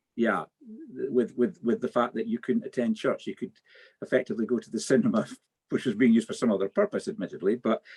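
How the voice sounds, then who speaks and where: Speaking at a very fast pace with a Scottish accent, a man with a medium pitch makes very wide pitch swings in a dry, close sound with no echo. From Scotland. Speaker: politician and panel chair. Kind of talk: webinar panel moderation.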